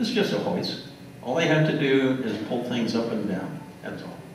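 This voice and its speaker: A man with an American accent speaks at a fairly slow pace with ordinary pitch variation, over light background noise and audible room echo. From US South Central (Kansas, Oklahoma, Texas). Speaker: retired geologist. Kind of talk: lecture. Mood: relaxed, wry. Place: hall. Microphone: podium.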